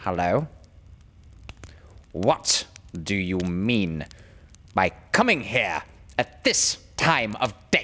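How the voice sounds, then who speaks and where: A put-on character voice growls at a low pitch. It moves at a very slow pace with long, frequent pauses. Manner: gruff, sharp, demanding.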